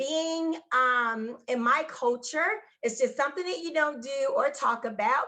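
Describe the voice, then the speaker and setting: A woman with an American accent speaks in a raised, projected voice with a bright, sharp tone and high pitch, at a fairly slow pace with hardly any pauses and ordinary pitch variation. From US Midwest, Gary, Indiana. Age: 40s. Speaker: psychic medium and Reiki master. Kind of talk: personal testimony in interview.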